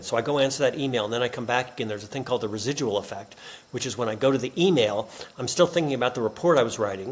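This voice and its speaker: A man races along at a very fast pace, with noticeable background noise beneath him. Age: 60s. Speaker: business author and professor. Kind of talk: podcast interview.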